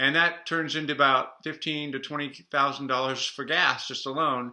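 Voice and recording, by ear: A man with a fairly high pitch and a bright, sharp tone talks at a moderate pace, with audible room echo around him.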